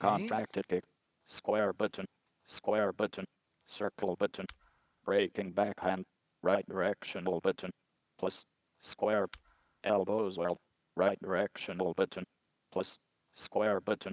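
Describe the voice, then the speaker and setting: In a put-on character voice, a man talks fairly slowly with long, frequent pauses. His pitch is fairly low. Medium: video game. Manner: monotone, mechanical.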